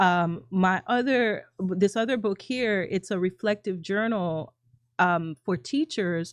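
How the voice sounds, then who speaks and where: A woman speaks at a very slow pace in a dry, close sound with no echo over a quiet background. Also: medium pitch for a woman, ordinary pitch variation. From Jamaica. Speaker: education entrepreneur and former teacher. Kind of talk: interview conversation.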